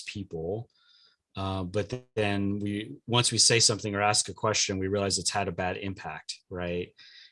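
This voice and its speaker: Speaking with a Californian accent, a man has a fairly low pitch and a bright, sharp tone. His intonation is fairly even, and the very clean recording has a silent background. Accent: Californian American English. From US West Coast, Los Angeles. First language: Spanish. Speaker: diversity coach and trainer. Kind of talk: podcast interview. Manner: hesitant, many fillers.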